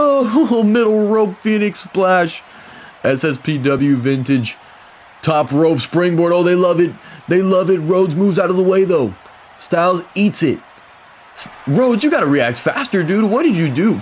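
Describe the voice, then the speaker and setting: High-pitched and excited, a man speaks with an energetic tone at a moderate pace, his loudness very even while his pitch swings very widely. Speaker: wrestling commentator. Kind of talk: wrestling play-by-play commentary. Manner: excited, energetic.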